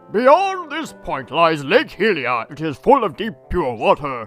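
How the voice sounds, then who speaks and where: Faint music plays in the background as a man uses a put-on character voice. His tone is solemn and his pace moderate. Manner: solemn, wise, guiding.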